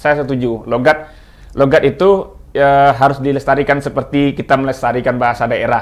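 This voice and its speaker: With a Minang accent, a man talks at a fairly quick pace and fairly high pitch, keeping his intonation fairly even. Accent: Minang-accented Indonesian. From West Sumatra (Minangkabau). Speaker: linguist. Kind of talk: talk show discussion. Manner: halting, with many fillers and restarts.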